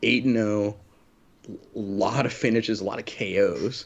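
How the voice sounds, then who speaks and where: In an Oklahoma accent, a man speaks at a fairly slow pace. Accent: Oklahoma twang. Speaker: MMA podcast co-host. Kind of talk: casual chat.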